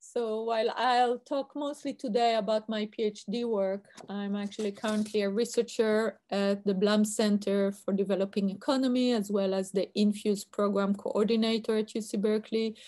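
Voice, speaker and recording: A woman speaks in an Israeli accent with a dark, mellow tone and fairly high pitch. Her intonation is monotone and flat, with hardly any pauses. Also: moderate pace. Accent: Israeli accent, noticeable. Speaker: university researcher. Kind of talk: lecture.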